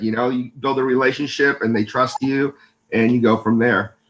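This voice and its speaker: A man talks at a medium pitch with a Californian accent. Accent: Californian American English. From California, US. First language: Spanish. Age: 50s. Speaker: business owner, salesman. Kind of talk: interview. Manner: hesitant, many fillers.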